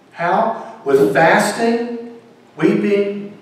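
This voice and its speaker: A man's voice makes very wide pitch swings against strong room echo. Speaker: preacher, pastor. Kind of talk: sermon delivered to a congregation. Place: church.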